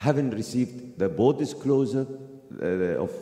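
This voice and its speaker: With audible room echo around him, a man speaks with lively intonation. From Palestine. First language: Arabic. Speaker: activist. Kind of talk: speech. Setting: mosque. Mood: earnest, impassioned. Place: church.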